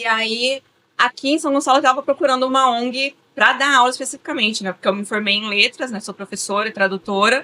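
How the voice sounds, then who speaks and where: Bright and sharp in tone, a woman talks with a high pitch at a fairly quick pace and ordinary pitch variation, the sound dry and close with no echo. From São Paulo, Brazil. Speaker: teacher and project coordinator. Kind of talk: interview.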